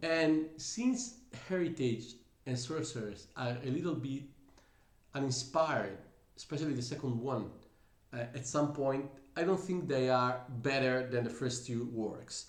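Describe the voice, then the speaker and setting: A man at a medium pitch in an Italian accent, fairly slow with long, frequent pauses and ordinary pitch variation, amid audible room echo. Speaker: musician, singer and bassist. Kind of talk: music reaction commentary. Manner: hesitant, with fillers.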